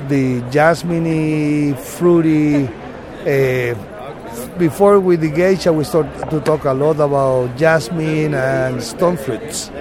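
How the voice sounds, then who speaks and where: A man talks with a Spanish accent and ordinary pitch variation. Audible room echo and noticeable background noise surround him. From Panama, Boquete. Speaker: coffee farmer. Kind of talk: interview. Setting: expo booth.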